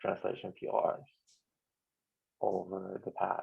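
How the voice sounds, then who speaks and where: A man speaks with a non-native accent. His pace is very slow. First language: not English. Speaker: software maintainer. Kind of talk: online team meeting.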